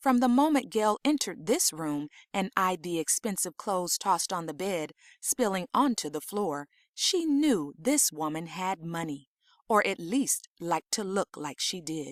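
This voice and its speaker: On a very clean, dry, close recording with a silent background and no echo, a woman speaks at a moderate pace and medium pitch with very wide pitch swings. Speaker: audiobook narrator. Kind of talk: fiction audiobook reading.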